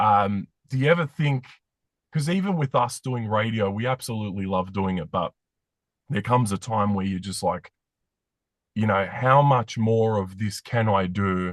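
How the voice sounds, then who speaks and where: Against a quiet background, a man talks with an Australian accent and long, frequent pauses. His fairly low voice has ordinary pitch variation, and the sound is dry and close with no echo. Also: moderate pace. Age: 40s. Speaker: podcast host, former radio host. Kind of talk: interview.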